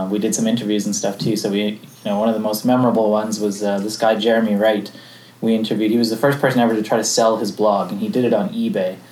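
A man speaks very fast in a flat monotone. Noticeable background noise runs behind him. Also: fairly low pitch for a man. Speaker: early podcaster. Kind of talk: panel talk.

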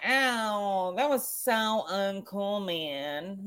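A put-on, whiny character voice that sounds female, pitched in the middle range.

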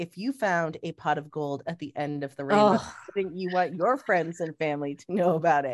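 A woman performs a robotic, put-on character voice at a fairly low pitch, moving at a moderate pace with big swings in loudness. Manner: scripted, salesy.

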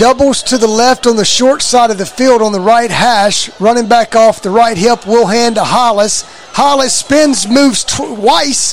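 A man's extremely high-pitched, energetic voice with ordinary pitch variation and hardly any pauses, over noticeable background noise. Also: moderate pace. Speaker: play-by-play radio announcer. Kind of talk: live play-by-play sports commentary. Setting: live radio broadcast from stadium. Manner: brisk, energetic play-by-play delivery.

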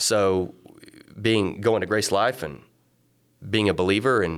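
This man talks at a fairly slow pace. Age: 30s. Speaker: coffee shop owner. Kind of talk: casual interview. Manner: halting, repeats words.

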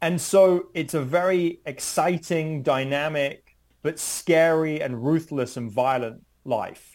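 Very slow, fairly high-pitched male voice with a British accent. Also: ordinary pitch variation. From United Kingdom. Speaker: criminology professor. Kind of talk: interview. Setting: at home, remote.

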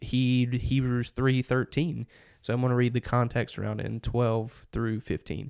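A man talks at a moderate pace in a monotone, flat delivery, recorded dry and close with no echo on a very clean, silent background. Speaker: church podcast co-host. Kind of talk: casual chat. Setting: office.

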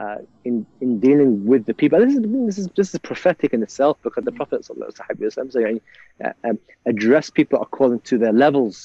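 Very fast speech with very wide pitch swings. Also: man, fairly high pitch for a man. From England, Liverpool. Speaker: imam and university chaplain. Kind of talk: interview storytelling. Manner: halting, many fillers.

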